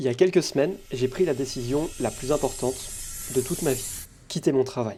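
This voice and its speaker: Here a man speaks in a dark, mellow tone. His pace is fairly quick. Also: medium pitch for a man, ordinary pitch variation. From France. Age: 20s. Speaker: vlogger. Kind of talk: personal vlog monologue. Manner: determined, motivational.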